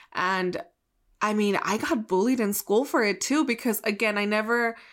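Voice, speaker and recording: A woman with a normal speaking voice and fairly high pitch talks at a moderate pace. The recording is very clean, its background silent. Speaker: podcast co-host. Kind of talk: casual chat.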